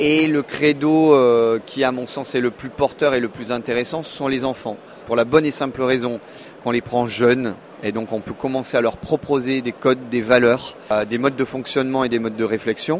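A man at a medium pitch and moderate pace, with fairly even intonation and noticeable background noise. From Monaco. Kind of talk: interview.

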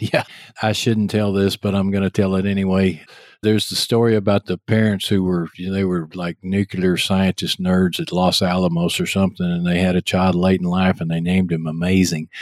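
In a Texas accent, a man with a very deep, low pitch speaks at a fairly quick pace with monotone, flat intonation, on a very clean, dry, close recording with a silent background and no echo. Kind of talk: casual interview.

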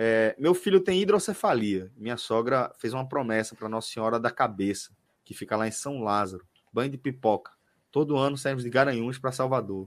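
A man with an unremarkable speaking voice, medium in pitch, with lively intonation at a fairly quick pace. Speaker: sports podcast host. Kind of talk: casual chat. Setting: live stream, video call.

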